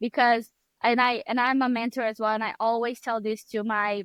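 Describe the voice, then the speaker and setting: A woman talks in a Brazilian accent at a fairly high pitch. Her intonation stays fairly even. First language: Portuguese. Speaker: photographer and mentor. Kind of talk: podcast interview.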